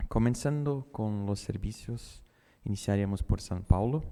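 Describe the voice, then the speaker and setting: With a Brazilian accent, a man speaks at a very slow pace and fairly low pitch, his tone dark and mellow, with ordinary pitch variation. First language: Portuguese (speaking Spanish). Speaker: neurologist. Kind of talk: conference talk. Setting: conference auditorium, hybrid event.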